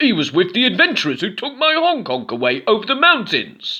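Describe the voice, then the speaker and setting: Delivered in a put-on character voice, the speech moves at a fairly quick pace with very wide pitch swings. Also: man, high pitch for a man. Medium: read story.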